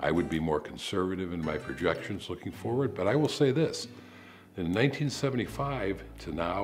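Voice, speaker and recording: Faint music plays in the background as a man with a very deep, low pitch speaks at a moderate pace. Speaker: interviewee. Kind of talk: interview answer. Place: home room.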